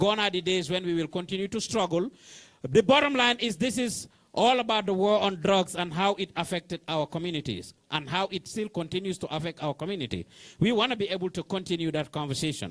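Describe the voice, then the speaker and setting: A man with a Senegalese accent talks at a fairly quick pace in a high pitch with ordinary pitch variation, the sound dry and close with no echo. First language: Wolof. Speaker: community organizer. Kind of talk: closing address to workshop audience. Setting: meeting room with live audience.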